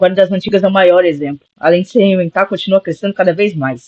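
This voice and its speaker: A man's fairly quick speech is captured in a dry, close sound with no echo. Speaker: gaming youtuber. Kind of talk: video essay narration.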